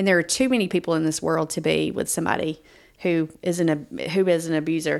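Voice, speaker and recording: A woman talks at a very fast pace with very even loudness, her fairly low voice showing ordinary pitch variation. The recording is very clean with a silent background. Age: 40s. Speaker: podcast co-host. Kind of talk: casual chat. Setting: studio.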